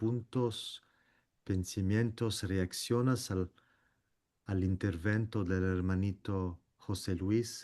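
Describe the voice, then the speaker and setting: A very slow, flat, monotone man's voice, fairly low, with a non-native accent and a quiet background. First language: not Spanish (speaking Spanish). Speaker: meeting moderator. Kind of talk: group discussion moderation. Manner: halting.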